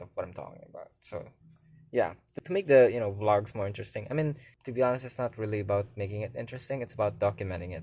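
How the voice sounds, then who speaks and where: The recording is very clean, with a silent background. A man speaks very fast with ordinary pitch variation. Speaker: vlogger. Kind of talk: casual vlog monologue. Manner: halting, stumbling on words.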